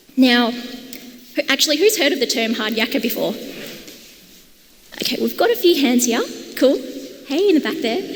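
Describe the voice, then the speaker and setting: With a strong Australian accent, a woman speaks at a moderate pace and a high pitch, her intonation lively, with long, frequent pauses and noticeable background noise. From Australia, Perth. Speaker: conference speaker, product and design lead. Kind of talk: conference talk. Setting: stage with audience. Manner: animated.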